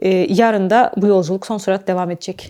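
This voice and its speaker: At a fairly quick pace, a woman with a dark, mellow tone speaks at a medium pitch with fairly even intonation on a very clean recording with a silent background. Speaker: travel documentary presenter. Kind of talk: travel vlog narration. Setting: outdoors.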